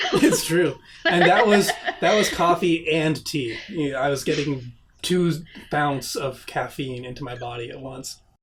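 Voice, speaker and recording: A fairly high-pitched man at a fairly slow pace, with big swings in loudness over noticeable background noise. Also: ordinary pitch variation. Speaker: esports writer, podcast co-host. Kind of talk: casual chat.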